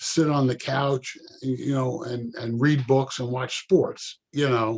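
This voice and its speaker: A fairly high-pitched male voice, a normal speaking voice, delivered at a fairly slow pace. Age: 60s. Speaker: retired professional. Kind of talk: casual chat.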